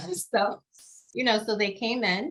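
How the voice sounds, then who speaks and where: A woman's bright, sharp voice, medium in pitch, with ordinary pitch variation. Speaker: patient advocate. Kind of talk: panel discussion. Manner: fast.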